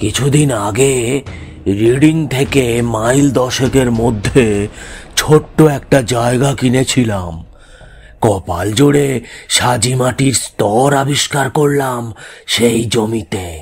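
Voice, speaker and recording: Using a put-on character voice, a man talks at a medium pitch. His pace is very slow. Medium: audio drama. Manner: secretive, low-voiced.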